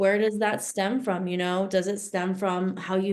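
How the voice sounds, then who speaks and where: Over noticeable background noise, a woman with an American accent talks in a monotone, flat intonation. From New Jersey. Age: 30s. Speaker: spiritual coach. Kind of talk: casual chat.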